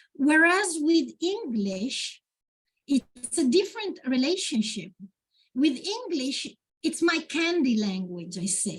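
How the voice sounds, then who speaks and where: In an Italian accent, a woman speaks very slowly in a high voice with very wide pitch swings. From Italy. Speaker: poet. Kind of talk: Q&A at a literary event. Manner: halting, with many fillers.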